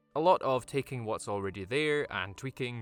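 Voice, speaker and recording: Music plays in the background. A man with a Scottish accent speaks with lively intonation. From Scotland. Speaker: tabletop gaming YouTuber. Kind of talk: video essay / tutorial.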